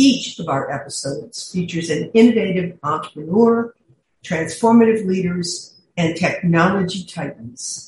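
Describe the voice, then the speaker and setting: A woman's somewhat breathy, medium-pitched voice with lively intonation, moderate pace and big swings in loudness. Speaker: podcast host, executive coach. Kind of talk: scripted intro and outro.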